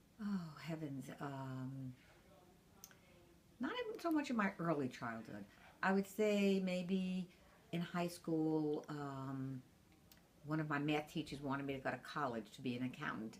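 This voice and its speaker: With a New York accent, a woman speaks at a moderate pace in a very deep, low pitch, her intonation lively and broken by long, frequent pauses. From Brooklyn, New York. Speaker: grandmother interviewed about her life. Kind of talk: oral history interview.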